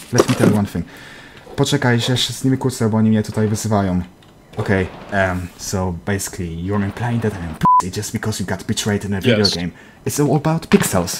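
Speaking very fast with a Polish accent, a man with fairly low pitch and ordinary pitch variation is heard over noticeable background noise. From Poland. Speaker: gaming YouTuber. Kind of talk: casual game chat; scripted narration.

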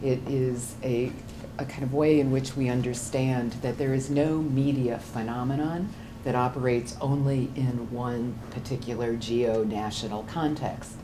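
A woman's very deep, low voice at a fairly slow pace, fairly even in intonation, with noticeable background noise. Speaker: university program administrator. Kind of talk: presentation. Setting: stage with audience. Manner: halting. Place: classroom. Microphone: camera far.

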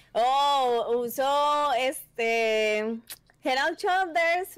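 A woman's high-pitched voice with a Paisa Colombian accent. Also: quiet background. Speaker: competitive gamer. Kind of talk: casual chat. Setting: video call. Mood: relaxed, friendly. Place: home room. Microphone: headset.

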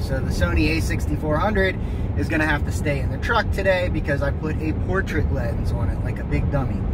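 Loud background noise fills the clip, and the sound is dry with no echo. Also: man. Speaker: vlogger. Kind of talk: casual vlog chat. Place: car. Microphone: phone near.

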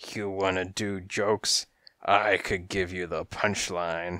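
A put-on character voice speaks at a slow pace with little pitch movement. The tone is bright and sharp, yet raspy and gravelly. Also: man, low pitch for a man.

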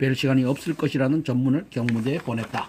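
Somewhat breathy, the voice has a dark, mellow tone. It moves at a fairly quick pace with fairly even intonation. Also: man. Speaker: interviewer. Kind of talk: reading aloud from a book, historical narration.

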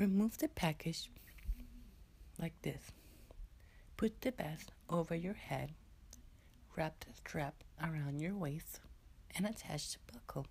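A man speaks slowly at a fairly high pitch, with vocal fry, a slightly mellow tone and lively intonation.

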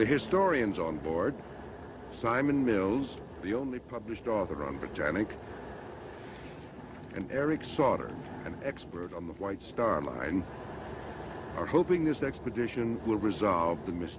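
Over noticeable background noise, a man speaks at a moderate pace with very wide pitch swings and long, frequent pauses. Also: fairly low pitch for a man. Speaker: documentary narrator. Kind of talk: documentary narration.

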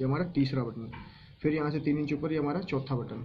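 A man's voice comes through somewhat breathy. There is light background noise. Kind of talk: tutorial. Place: workshop. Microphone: phone near.

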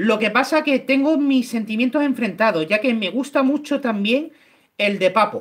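A man speaks at a moderate pace with an extremely high pitch, ordinary pitch variation and very even loudness. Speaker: YouTuber, miniature painter. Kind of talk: live-stream painting tutorial and casual chat.

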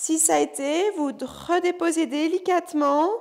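This is a woman speaking. Her pace is very slow. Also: quiet background. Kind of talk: exercise class instruction, counting. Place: gym.

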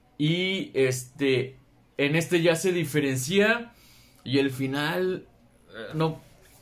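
With a Mexican accent, a man speaks at a very slow pace. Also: fairly high pitch for a man, ordinary pitch variation. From Mexico. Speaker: booktuber; book vlogger. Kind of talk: casual video monologue. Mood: cheerful, enthusiastic. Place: home room. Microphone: phone near.

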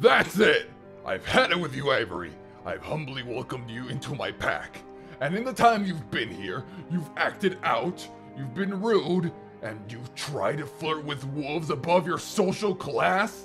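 This man's fairly high voice is a put-on character voice. He keeps a moderate pace, with clear music playing in the background. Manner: furious, shouting, contemptuous.

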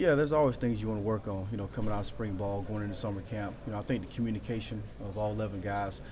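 Over noticeable background noise, a man with a fairly low pitch talks very fast in a fairly even intonation. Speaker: football coach. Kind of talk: interview answer. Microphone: phone near.

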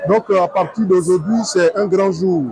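Faint music plays behind a man whose voice is high for a man, with a slightly mellow tone, ordinary pitch variation and a moderate pace.

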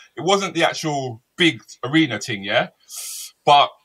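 Against a quiet background, a man with a fairly high pitch speaks at a fairly slow pace in a bright, sharp, animated tone with lively intonation and vocal fry. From England. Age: 50s. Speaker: comedian and chat show host. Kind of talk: live-streamed chat show. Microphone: webcam.

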